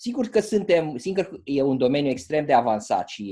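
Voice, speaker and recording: A man's dark, mellow tone at a moderate pace. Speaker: book club host. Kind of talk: online club meeting. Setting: video call. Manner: halting.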